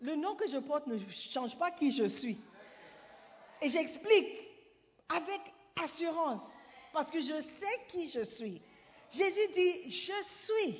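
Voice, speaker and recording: A woman with a high voice speaks in an animated tone, her pitch swinging very widely over noticeable background noise. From Ghana. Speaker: pastor. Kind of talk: sermon. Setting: church.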